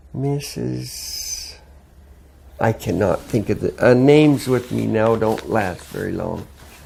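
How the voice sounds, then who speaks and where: Noticeable noise sits behind a man who talks very slowly. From southern Alberta, Canada. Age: 70s. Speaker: oral history interviewee. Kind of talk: oral history interview. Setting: at home. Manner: halting, many fillers.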